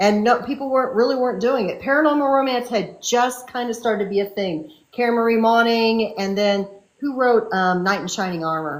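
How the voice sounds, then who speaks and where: In an unremarkable speaking voice, a woman talks at a fairly quick pace with a fairly high pitch and ordinary pitch variation. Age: 60s. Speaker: fantasy and romance author. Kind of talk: casual interview chat.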